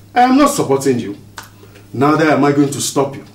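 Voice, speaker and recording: Audible room echo surrounds the speaker, a man. His pitch varies in an ordinary way. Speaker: actor playing a family elder. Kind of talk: dramatic scripted dialogue. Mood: stern, disappointed, firm. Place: home room.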